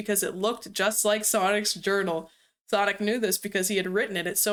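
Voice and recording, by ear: The text is read aloud in a natural voice, and the background is quiet.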